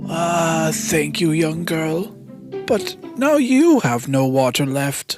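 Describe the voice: A woman uses a put-on character voice, low-pitched with lively intonation, at a slow pace. Faint music plays in the background.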